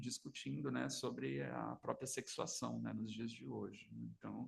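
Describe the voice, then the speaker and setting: Soft-spoken, a man talks at a moderate pace. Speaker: psychoanalyst. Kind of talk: seminar lecture. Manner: halting. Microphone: too quiet, mic needs to be moved closer.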